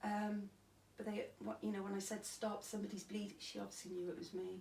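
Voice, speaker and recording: A woman with a Cardiff accent at medium pitch, monotone, flat and fairly quick, over noticeable background noise. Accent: Welsh (Cardiff). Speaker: stabbing survivor. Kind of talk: interview testimony.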